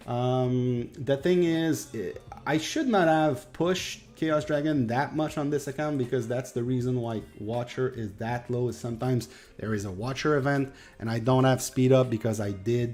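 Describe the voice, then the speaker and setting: A man in a Quebec accent speaks at a moderate pace and medium pitch, with ordinary pitch variation. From Quebec, Canada. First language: French. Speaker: gaming streamer. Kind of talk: live stream chat with viewers. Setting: live stream. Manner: halting, many fillers.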